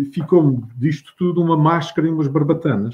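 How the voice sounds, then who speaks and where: A man's fairly high voice, a bit breathy, at a fairly quick clip with ordinary pitch movement. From Azores. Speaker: writer and retired teacher. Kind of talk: interview.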